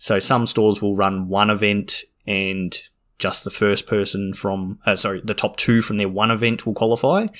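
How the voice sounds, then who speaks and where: In an Australian accent, the speaker uses fairly even intonation on a very clean recording with a silent background. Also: man. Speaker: podcast host. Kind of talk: casual chat.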